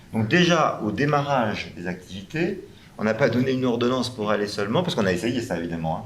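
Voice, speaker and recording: Amid noticeable background noise and audible room echo, a man talks at a very fast pace with lively intonation. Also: medium pitch for a man. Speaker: round table panelist, health professional. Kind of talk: panel discussion. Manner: hesitant, many fillers.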